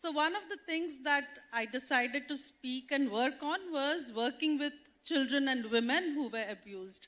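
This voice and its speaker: With an Indian accent, a woman with a high, bright and sharp voice speaks at a moderate pace with hardly any pauses and ordinary pitch variation. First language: Odia. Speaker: development sector leader, panelist. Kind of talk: personal testimony on panel. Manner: halting, many fillers.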